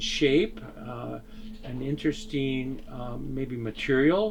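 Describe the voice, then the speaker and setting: Speaking at a very slow pace, a man with a medium-pitched voice is heard over noticeable background noise. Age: 70s. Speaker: artist. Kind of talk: interview. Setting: artist's studio. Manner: halting.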